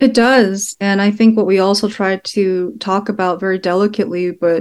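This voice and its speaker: At a moderate pace, a woman with an American accent and an unremarkable speaking voice talks at medium pitch with fairly even intonation. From Texas, Sugar Land. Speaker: documentary filmmaker. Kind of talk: interview. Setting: remote call.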